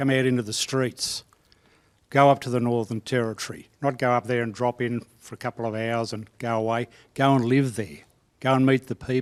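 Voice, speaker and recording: At a moderate pace, a man with an Australian accent speaks with fairly even intonation in a dry, close sound with no echo. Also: medium pitch for a man. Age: 70s. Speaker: veteran court practitioner. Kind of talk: panel discussion. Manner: emphatic.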